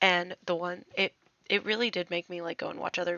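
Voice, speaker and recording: The speaker is a woman. Her pitch is fairly low. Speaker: speed art artist, video narrator. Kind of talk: voiceover commentary over speed art. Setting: dorm room. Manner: soft-spoken, quieter than usual; casual, filler-heavy.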